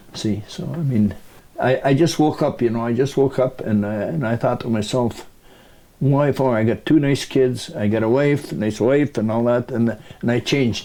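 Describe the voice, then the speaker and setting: In a Canadian accent, a man with a dark, mellow tone and medium pitch talks at a moderate pace with ordinary pitch variation. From Canada. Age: 80s+. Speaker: war veteran. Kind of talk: interview answer.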